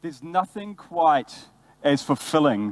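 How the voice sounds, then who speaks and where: A man speaks in a New Zealand accent at a moderate pace. His intonation is lively. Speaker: brand ambassador, former bartender. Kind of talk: conference talk. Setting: stage with audience.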